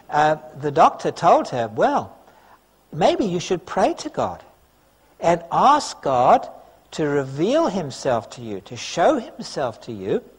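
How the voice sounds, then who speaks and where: Very slow pace and long, frequent pauses mark this man's speech. His loudness swings a lot. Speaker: preacher. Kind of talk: sermon. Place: church. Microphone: podium.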